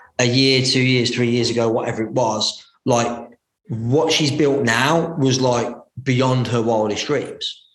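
At a fairly slow pace, a man talks in a medium pitch with fairly even intonation and audible room echo. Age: 30s. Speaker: business coach and entrepreneur. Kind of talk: interview. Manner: hesitant with frequent fillers.

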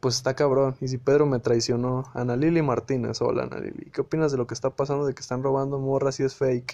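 A man's fairly high voice with a dark, mellow tone and a Mexican accent. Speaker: podcast host. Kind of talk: casual monologue. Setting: live audio stream. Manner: animated.

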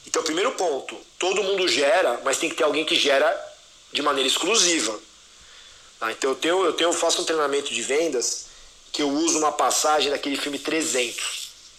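Noticeable background noise runs under the recording. A man with a fairly high pitch speaks at a moderate pace. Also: ordinary pitch variation. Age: 40s. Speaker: enterprise sales executive. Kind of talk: podcast interview. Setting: live audio room.

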